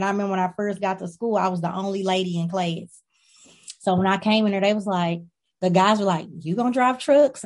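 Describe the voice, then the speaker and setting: A woman talks at a very fast pace and medium pitch. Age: 30s. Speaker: trucking company owner. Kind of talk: interview.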